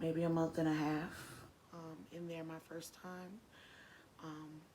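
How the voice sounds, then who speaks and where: In a room with audible echo, a woman speaks in a dark, mellow tone at a fairly low pitch. Her pace is fairly slow and her intonation monotone and flat. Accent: American. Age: 30s. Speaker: former juvenile offender. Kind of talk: interview testimony. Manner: hesitant, many fillers.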